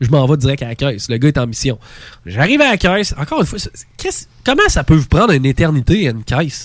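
In a Quebec accent, a man speaks at a very fast pace with a fairly high pitch. His tone is animated and his intonation lively. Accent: Québécois French. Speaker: podcast host. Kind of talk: casual chat. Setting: studio.

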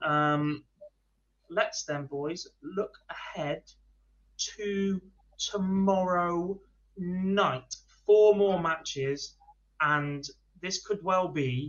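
Man with a high pitch, ordinary pitch variation and a very slow pace

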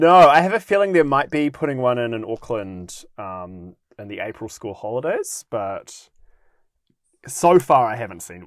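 With a New Zealand accent, a man speaks at a moderate pace in a medium-pitched voice, with very wide pitch swings and big swings in loudness. The recording is very clean, the background silent. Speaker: podcast host. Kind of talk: casual chat, comedic podcast banter. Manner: joking, playful.

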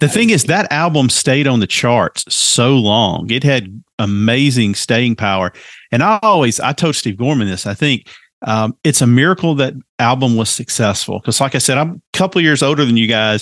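Against a quiet background, the speaker uses lively intonation at a moderate pace with a Southern US accent. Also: man, medium pitch for a man. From US South. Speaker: podcast host guest. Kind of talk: casual chat.

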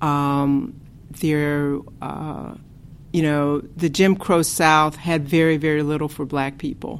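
A woman speaks at a very slow pace with an American accent. Her pitch is very deep and low, and her intonation is monotone and flat. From US Midwest, Chicago. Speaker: professor. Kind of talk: interview conversation. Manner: hesitant, many fillers.

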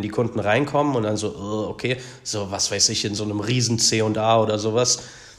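At a moderate pace, a man talks at medium pitch with fairly even intonation in an unremarkable speaking voice. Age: 30s. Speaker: personal trainer. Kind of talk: casual chat.

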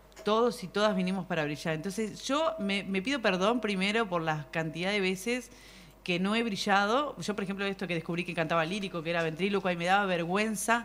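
A woman with a Uruguayan accent speaks at a fairly quick pace. Her medium pitch has ordinary pitch variation. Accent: Uruguayan Rioplatense Spanish. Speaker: comedian and performer. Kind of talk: casual chat. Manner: animated.

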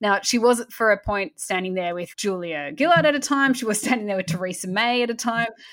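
A woman with an Australian accent speaks at a fairly quick pace with lively intonation. The recording is very clean, with a silent background. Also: fairly high pitch for a woman. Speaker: podcast host and publisher. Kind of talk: casual chat and interview.

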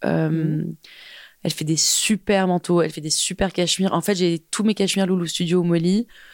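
Delivered at a moderate pace in a monotone, flat intonation, the voice sits in a very clean recording with a silent background and a dry, close sound with no echo. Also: woman, fairly low pitch for a woman. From France and England (half English, half French). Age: 30s. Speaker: fashion tech entrepreneur. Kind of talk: casual interview chat.

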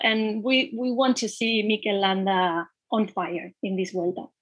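Someone speaks with a Spanish accent at a very slow pace. The intonation is fairly even and the background quiet. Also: woman. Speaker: cycling magazine editor. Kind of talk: interview.

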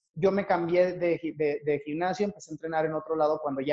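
A man talks at a moderate pace with fairly even intonation in an unremarkable speaking voice. The sound is dry and close, with no echo. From Mexico (Torreón, Coahuila). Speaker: dancer and dance teacher. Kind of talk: interview.

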